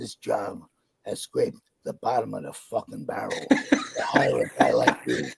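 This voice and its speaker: A man's put-on character voice, raspy and gruff. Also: moderate pace. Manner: harsh, insulting.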